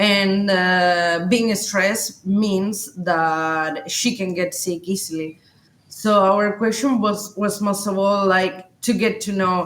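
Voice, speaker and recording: Very slowly, a woman with a Spanish accent talks at a medium pitch with fairly even intonation. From Chile. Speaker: cat owner, adventure content creator. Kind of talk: podcast interview. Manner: halting, many fillers.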